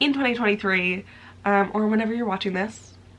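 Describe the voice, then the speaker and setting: A woman's voice at a medium pitch. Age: 20s. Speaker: crochet and knitting YouTuber. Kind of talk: casual vlog talk to camera. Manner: animated.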